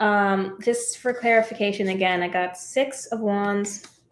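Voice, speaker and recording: A woman speaks at a medium pitch with ordinary pitch variation. It is a plain, everyday voice. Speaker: tarot reader. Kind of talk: live tarot reading. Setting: live stream. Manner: casual.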